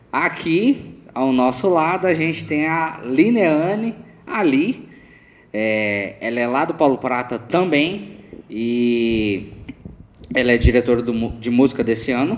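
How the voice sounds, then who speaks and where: A man speaks at a very slow pace. His medium pitch carries lively intonation. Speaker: podcast co-host. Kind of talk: casual religious podcast chat.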